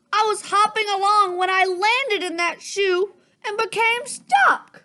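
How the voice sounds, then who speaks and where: A woman puts on a character voice at an extremely high pitch. She speaks fairly slowly. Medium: read story.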